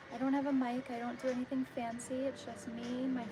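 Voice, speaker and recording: A woman with an American accent talks at a moderate pace in a high voice, with noticeable background noise behind her. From New York. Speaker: artist livestreamer. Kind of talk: casual livestream chat.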